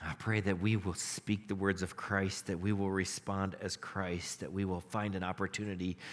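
Fairly low in pitch, this man has an ordinary speaking voice. He keeps a moderate pace with hardly any pauses. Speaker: pastor. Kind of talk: sermon with prayers, a fervent closing prayer. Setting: church with congregation. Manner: earnest, heartfelt, pleading and reverent in prayer; warm, conversational, upbeat.

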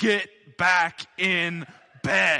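A man's put-on character voice, high-pitched, in a monotone with flat intonation. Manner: stern.

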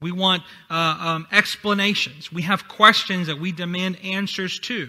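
Raised and projected, a man's high-pitched voice comes at a fairly slow pace with a bright, sharp tone. The recording is very clean, with a silent background. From Honduras. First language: Spanish. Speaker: pastor. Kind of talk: sermon. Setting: church.

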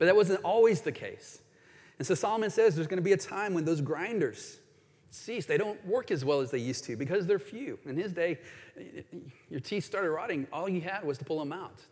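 The man's pitch is high and his intonation lively. He talks at a fairly quick pace. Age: 50s. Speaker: pastor. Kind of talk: sermon.

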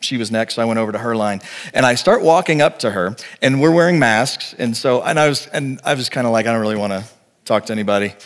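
A man with an unremarkable speaking voice talks at a fairly quick pace, at a medium pitch and with ordinary pitch variation. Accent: American. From Texas. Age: 40s. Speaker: pastor. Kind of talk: sermon.

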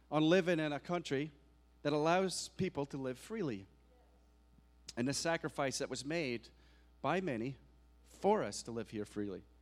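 A man speaks at a moderate pace in a Scottish accent with lively intonation. The recording is very clean, with a silent background. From Scotland. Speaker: guest preacher. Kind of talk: sermon. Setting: church.

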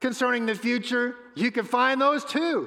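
A man projects a raised voice at an extremely high pitch with a bright, sharp tone. His pace is fairly slow. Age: 60s. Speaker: pastor. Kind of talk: sermon.

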